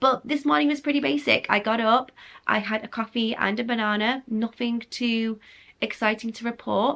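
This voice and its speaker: In an English accent, a woman with a fairly high pitch and ordinary pitch variation talks at a moderate pace against a quiet background. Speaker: lifestyle vlogger. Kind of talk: casual vlog talk.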